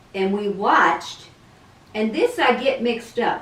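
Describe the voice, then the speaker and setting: A woman talks at a moderate pace amid audible room echo and noticeable background noise. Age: 70s. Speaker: grandmother being interviewed. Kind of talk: casual interview. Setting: video call. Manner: halting.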